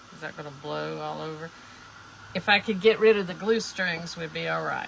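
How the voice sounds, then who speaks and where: Over noticeable background noise, a woman with a South Carolina accent talks at a moderate pace, her loudness swinging widely. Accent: Southern US, South Carolina. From US South. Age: 70s. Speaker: craft livestreamer. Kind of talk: live craft tutorial. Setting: livestream. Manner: casual, rambling with many fillers.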